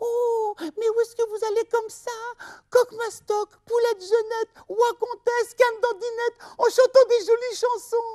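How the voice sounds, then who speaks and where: A put-on character voice at an extremely high pitch, monotone and flat, delivered at a moderate pace. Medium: read story.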